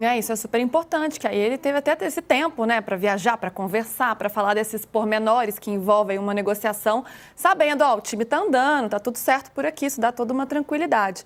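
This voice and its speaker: A woman with a Minas Gerais accent, fairly high-pitched, at a very fast pace with hardly any pauses and ordinary pitch variation. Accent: Minas Gerais Brazilian. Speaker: sports show host. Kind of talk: sports talk show.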